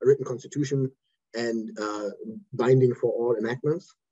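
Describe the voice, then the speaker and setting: Somewhat breathy and dark, mellow in tone, a man talks at a fairly quick pace with a medium pitch and ordinary pitch variation. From Germany. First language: German. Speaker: lawyer. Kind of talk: lecture. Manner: fast. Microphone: too quiet, moved closer to computer.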